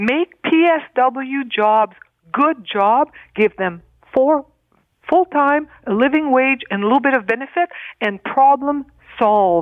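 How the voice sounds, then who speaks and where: A woman's high, passionate voice at a very slow pace, with lively intonation and long, frequent pauses. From Northern Ontario, Canada. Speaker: provincial politician. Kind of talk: radio panel discussion.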